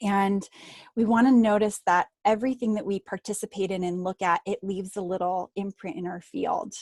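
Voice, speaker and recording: At a moderate pace, a woman talks in a normal speaking voice of medium pitch, the sound dry and close with no echo. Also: ordinary pitch variation, quiet background. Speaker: energy healing teacher. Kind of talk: group healing session talk. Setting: group video call.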